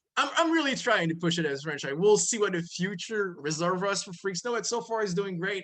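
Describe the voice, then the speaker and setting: A man with a French accent speaks in a high, animated tone with lively intonation at a fairly quick pace, barely pausing. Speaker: comic book publisher. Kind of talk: casual interview.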